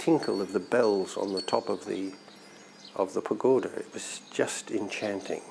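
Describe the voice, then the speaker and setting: At a fairly slow pace, a man's fairly low voice comes through noticeable background noise. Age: 70s. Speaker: Buddhist meditation practitioner recounting his life. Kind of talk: personal life story, interview monologue. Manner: halting, with fillers and repeated words.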